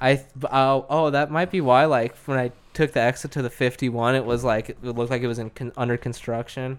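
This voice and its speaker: With an American accent, an unremarkable speaking voice moves at a fairly quick pace with fairly even intonation. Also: man, medium pitch for a man. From Arizona, Lake Havasu. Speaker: welder. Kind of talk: casual chat.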